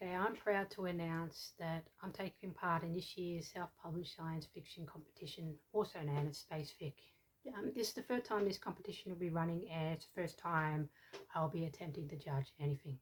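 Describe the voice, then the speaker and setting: A woman's fairly low, somewhat breathy voice at a fairly quick pace with ordinary pitch variation. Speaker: book competition judge and writer. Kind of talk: casual talk to camera. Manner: rambling, hesitant.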